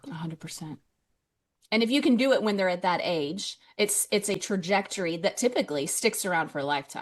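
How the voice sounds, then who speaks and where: At a fairly quick pace, a woman with a plain, everyday voice speaks at a medium pitch with lively intonation, over a quiet background. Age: 40s. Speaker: podcast host. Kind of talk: interview. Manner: casual and conversational.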